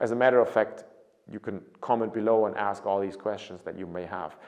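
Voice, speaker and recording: The speaker talks at a fairly quick pace in a German accent. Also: man. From Germany. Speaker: study abroad consultant. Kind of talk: informational talk to camera. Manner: casual, some repetitions and self-corrections.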